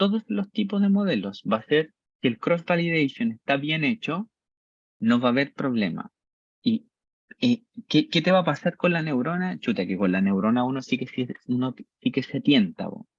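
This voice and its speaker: His pitch sits fairly high and leaps across a very wide range. The man keeps a moderate pace. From Chile. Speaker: university-level instructor. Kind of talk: lecture. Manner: animated, conversational.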